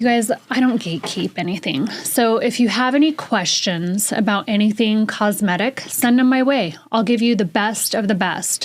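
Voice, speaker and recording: Over noticeable background noise, a woman with a fairly high pitch speaks at a moderate pace with ordinary pitch variation, hardly any pauses, and very even loudness. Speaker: podcast co-host. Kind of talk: casual chat.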